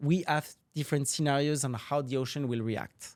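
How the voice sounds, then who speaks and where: In a very clean recording with a silent background, a man speaks at a moderate pace with ordinary pitch variation. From grew up moving between Africa, Caribbean, Asia, Latin America. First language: French. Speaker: marine scientist, professor. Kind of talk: podcast interview.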